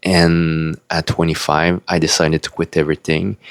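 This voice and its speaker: Very deep and low, this man's voice carries a non-native accent. The sound is dry and close, with no echo. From Quebec, Canada (French-speaking). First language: French. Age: 40s. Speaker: spiritual video blogger. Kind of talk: personal life story monologue. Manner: hesitant, with fillers.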